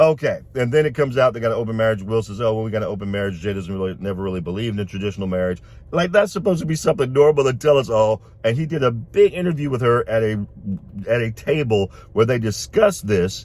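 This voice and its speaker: At a very fast pace, a man with a medium-pitched voice talks in an animated tone with lively intonation. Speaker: video blogger, commentator. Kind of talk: casual commentary monologue.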